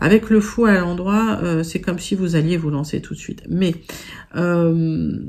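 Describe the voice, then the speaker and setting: A woman with a fairly low voice talks fairly slowly, her pitch varying in an ordinary way. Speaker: tarot reader. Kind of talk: tarot reading video. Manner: hesitant, many fillers.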